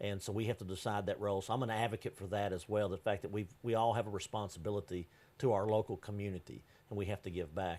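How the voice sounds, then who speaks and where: In a very clean recording with a silent background, a man speaks with an East Texas accent. His fairly low voice moves at a very fast pace. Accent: East Texas Southern US. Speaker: business consultant. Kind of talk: TV interview. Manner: loud; animated.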